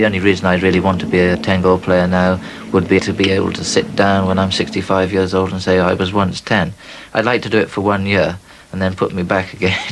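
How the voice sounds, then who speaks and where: A man with a very deep, low pitch speaks at a very fast pace in a flat monotone, with noticeable background noise. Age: 40s. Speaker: polo player. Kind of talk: interview.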